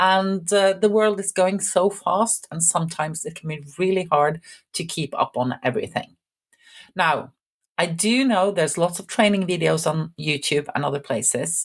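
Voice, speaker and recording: With a Norwegian accent, a woman talks at a fairly low pitch. Her pitch varies in an ordinary way. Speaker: IT instructor. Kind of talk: channel introduction. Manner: slow; calm.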